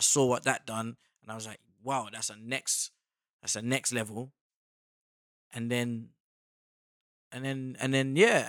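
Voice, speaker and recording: A British accent, monotone and flat in intonation, at a moderate pace over a very clean recording with a silent background. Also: man. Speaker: actor. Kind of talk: casual chat.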